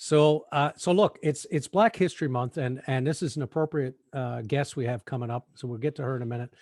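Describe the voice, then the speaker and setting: A fairly high-pitched man at a fairly quick pace with ordinary pitch variation, the sound dry and close with no echo against a quiet background. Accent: Newfoundland. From Newfoundland, Canada. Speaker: podcast co-host. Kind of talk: casual chat. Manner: animated storytelling.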